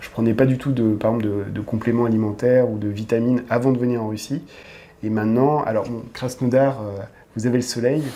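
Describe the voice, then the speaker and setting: At a fairly quick pace, a man with a dark, mellow tone and medium pitch speaks in a flat monotone. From France. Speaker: expat, dating agency owner. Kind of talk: podcast interview. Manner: hesitant, many fillers.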